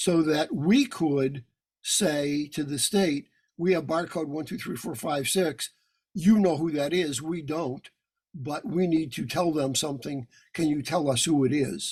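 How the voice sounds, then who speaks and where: A man with a fairly high pitch speaks fairly slowly, with an ordinary speaking voice and ordinary pitch variation. The recording is very clean, with a silent background. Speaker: lawyer, guest lecturer. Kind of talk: lecture.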